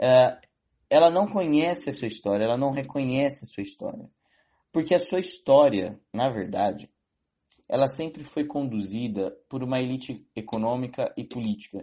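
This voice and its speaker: A man speaks at a moderate pace with a medium pitch and lively intonation. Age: young. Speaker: economics student. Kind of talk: interview. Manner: halting.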